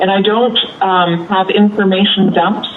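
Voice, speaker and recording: With noticeable background noise behind her, a woman speaks at a fairly slow pace and medium pitch. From Canada. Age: 70s. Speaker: children's author. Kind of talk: interview.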